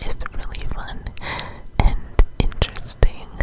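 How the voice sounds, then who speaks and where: Whispered words come out very slowly over noticeable background noise. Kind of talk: ASMR whispered tutorial. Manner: soft-spoken, slow.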